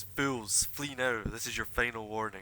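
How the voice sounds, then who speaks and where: A booming, put-on character voice moves at a moderate pace. Its intonation stays fairly even. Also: man, medium pitch for a man. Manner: booming, warning.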